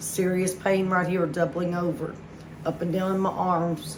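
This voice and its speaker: A woman's fairly low voice in a monotone, flat intonation, at a moderate pace, amid noticeable background noise. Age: 40s. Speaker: heart attack survivor. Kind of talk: personal story told to camera.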